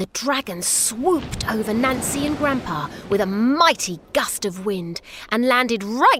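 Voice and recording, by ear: With a lively rise and fall, a passage is read out in a natural-sounding way.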